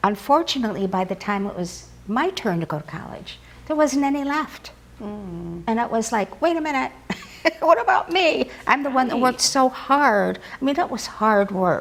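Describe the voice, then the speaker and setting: With noticeable background noise behind her, a woman speaks at a moderate pace in a fairly high voice that swings very widely in pitch. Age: 70s. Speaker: author and former model. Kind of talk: interview answer.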